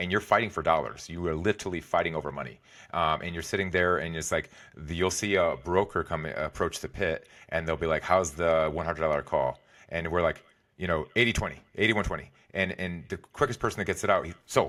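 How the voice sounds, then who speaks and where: A man's very deep, low voice with a bright, sharp tone at a fairly quick pace, in a very clean recording with a silent background. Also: ordinary pitch variation. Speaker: executive and wellness coach, former trader. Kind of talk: podcast interview. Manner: fast.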